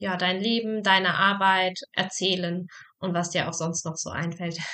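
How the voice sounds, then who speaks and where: A woman speaks in a plain, everyday voice at a medium pitch. Her pace is moderate and her intonation fairly even. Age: 20s. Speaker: psychologist and podcast host. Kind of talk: casual chat.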